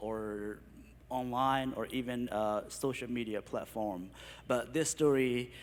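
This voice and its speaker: A man is speaking at a very slow pace. His intonation is fairly even. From Burma, Karen State. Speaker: refugee community leader. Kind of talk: testimony. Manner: halting.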